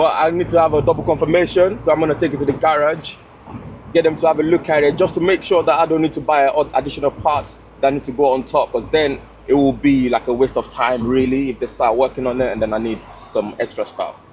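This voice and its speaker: A man talks at a very fast pace with fairly high pitch and ordinary pitch variation over noticeable background noise. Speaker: car vlogger. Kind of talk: casual chat; vlog talk to camera. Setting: in a convertible car. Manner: animated; loud.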